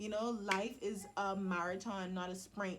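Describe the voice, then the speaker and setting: A woman with a Bahamian accent speaks at a very slow pace. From Bahamas. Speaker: motivational vlogger. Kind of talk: motivational vlog talk. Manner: casual, conversational.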